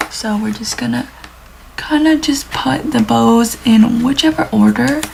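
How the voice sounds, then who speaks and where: This woman is soft-spoken and talks at a fairly slow pace. Noticeable background noise sits behind her. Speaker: planner YouTuber. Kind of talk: casual tutorial vlog. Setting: at home, early morning.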